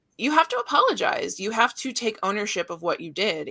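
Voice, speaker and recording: A woman's fairly high voice has a bright, sharp tone and very wide pitch swings. She talks at a fairly quick pace. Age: 30s. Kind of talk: casual chat. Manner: loud.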